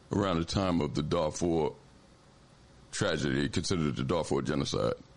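A man speaks with an American accent and vocal fry. His pitch swings very widely. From Philadelphia. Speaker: radio host. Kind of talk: radio hosting, interview and call-in. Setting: radio studio broadcast.

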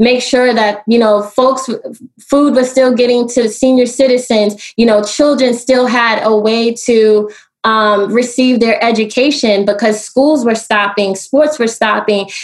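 With an American accent and a normal speaking voice, the speaker moves at a fairly slow pace with fairly even intonation and very even loudness. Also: woman. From US Northeast, Brooklyn New York. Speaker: solar energy entrepreneur. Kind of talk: interview.

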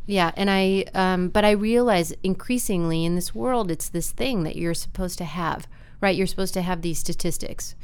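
A woman speaks at a moderate pace and medium pitch with ordinary pitch variation, in a normal speaking voice and an American accent. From US Midwest, Wisconsin. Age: 40s. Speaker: university staff member and arts nonprofit worker. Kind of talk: casual interview conversation.

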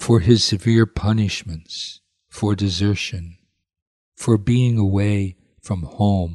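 Very slowly, a man speaks at a fairly low pitch, his tone dark and mellow and somewhat breathy. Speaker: priest leading prayers. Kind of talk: guided prayer and devotional reading.

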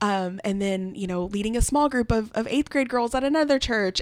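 A woman with a fairly high pitch and ordinary pitch variation talks at a fairly quick pace in an ordinary speaking voice. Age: 20s. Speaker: event coordinator. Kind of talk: casual chat.

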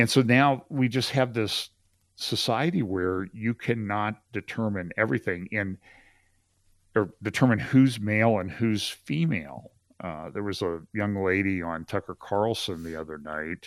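A man speaks in a normal speaking voice at a fairly low pitch, with ordinary pitch variation and a fairly slow pace. The recording is very clean, with a silent background. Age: 60s. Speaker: pastor and trial lawyer. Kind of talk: casual chat.

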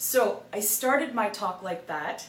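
Over noticeable background noise, a woman talks with lively intonation at a fairly high pitch. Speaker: real estate coach and broker. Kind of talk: motivational monologue.

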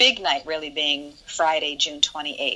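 Noticeable background noise sits behind this recording. A woman speaks at a moderate pace in a fairly low pitch. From Ohio, US Midwest. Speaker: event producer and nonprofit organizer. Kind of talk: casual interview chat.

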